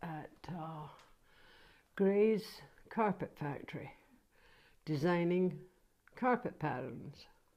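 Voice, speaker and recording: A woman speaking at a very slow pace, with lively intonation and long, frequent pauses. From Scotland, Ayrshire (Troon). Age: 70s. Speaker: grandmother interviewed by grandchild. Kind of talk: casual family interview. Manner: halting, with frequent hesitations.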